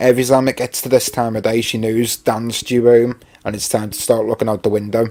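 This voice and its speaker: A man with a medium pitch speaks at a fairly quick pace in a monotone, flat intonation, his loudness swinging widely. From Merseyside, England (Rock Ferry, Wirral). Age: 30s. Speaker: YouTuber live-streaming. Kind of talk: casual live stream chat. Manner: chatty, filler-heavy.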